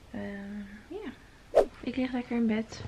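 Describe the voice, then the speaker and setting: A woman speaks with fairly even intonation, noticeable background noise audible throughout. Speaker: vlogger. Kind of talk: casual vlog chat. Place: home room. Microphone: phone near.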